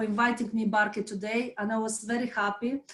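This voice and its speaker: Intonation here is fairly even. There is a somewhat breathy quality to the voice. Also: woman. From Moldova. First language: not English. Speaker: volunteer, former civil servant. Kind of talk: interview. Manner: halting, many fillers and restarts.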